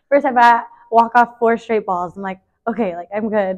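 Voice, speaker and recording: At a moderate pace, a woman talks in a fairly high voice with fairly even intonation. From northeast Los Angeles, California. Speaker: college softball player. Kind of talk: casual interview chat.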